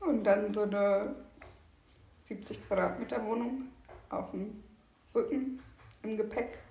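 Speaking very slowly with long, frequent pauses, a woman uses a fairly high pitch and fairly even intonation. Audible room echo hangs around her voice. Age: 20s. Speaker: podcast co-host, lab chemist. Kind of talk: casual chat. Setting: at home at the dining table.

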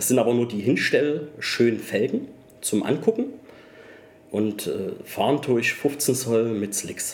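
With long, frequent pauses, a man talks very slowly at a medium pitch, his pitch varying in an ordinary way. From Saxony, Germany (between Chemnitz and Zwickau). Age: 30s. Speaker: Italian car enthusiast. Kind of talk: casual interview.

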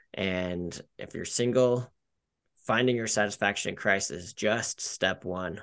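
A plain, everyday voice from a man with an American accent, fairly low in pitch, at a fairly slow pace, with ordinary pitch variation and big swings in loudness against a quiet background. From Colorado, Denver. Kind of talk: casual interview chat.

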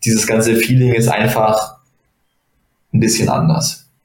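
Music plays behind a man's voice. He speaks at medium pitch and a moderate pace. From Germany, Bonn. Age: 20s. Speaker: judoka and medical student. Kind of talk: casual interview.

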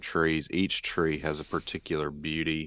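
A man with a Southern US accent speaks in a very deep, low pitch at a fairly slow pace. The recording is very clean with a silent background and a dry, close sound with no echo. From Georgia, US. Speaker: pastor and podcast co-host. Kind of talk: casual chat.

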